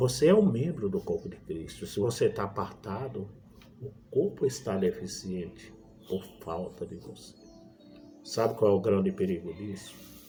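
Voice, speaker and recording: With music in the background, a man talks at a moderate pace. His loudness swings widely. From Brazil, Pernambuco backlands (Northeast). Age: 60s. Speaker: evangelist preacher. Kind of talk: sermon. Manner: halting.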